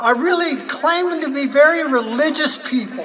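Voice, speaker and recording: The speech comes at a fairly slow pace with ordinary pitch variation. Audible room echo and noticeable background noise fill the recording. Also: woman. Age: 70s. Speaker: activist speaker. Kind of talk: rally speech. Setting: outdoor rally with crowd. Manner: halting.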